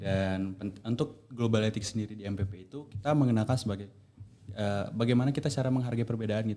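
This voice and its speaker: Speaking at a very fast pace, a man has a dark, mellow tone and a fairly low pitch. His pitch varies in an ordinary way. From Indonesia, Medan (North Sumatra). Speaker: university student. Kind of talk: casual podcast chat.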